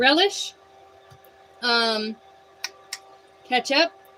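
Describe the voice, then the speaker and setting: Over noticeable background noise, a woman with an American accent speaks at a fairly high pitch with very wide pitch swings. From Montana, USA. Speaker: cooking livestreamer. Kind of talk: casual livestream chat. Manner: slow.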